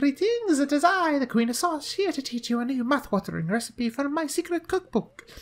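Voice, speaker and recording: Using a put-on character voice, a man speaks at an extremely high pitch and a fairly quick pace with hardly any pauses. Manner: grandiose, announcing.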